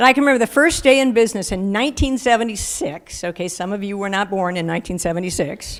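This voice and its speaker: Here is a normal speaking voice from a woman at medium pitch. She talks at a fairly quick pace with lively intonation. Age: 60s. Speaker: hall of fame inductee, running store co-founder. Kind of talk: acceptance speech.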